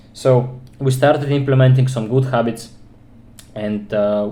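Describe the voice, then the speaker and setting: Medium pitch and a dark, mellow tone from a man with a non-native accent, at a moderate pace amid audible room echo. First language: non-English. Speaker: self-improvement vlogger. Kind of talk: personal monologue vlog. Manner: halting.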